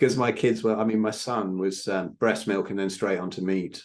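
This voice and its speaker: Over a quiet background, a man talks at a fairly quick pace in a fairly low pitch. It is an ordinary speaking voice. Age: 60s. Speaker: podcast host. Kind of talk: casual chat.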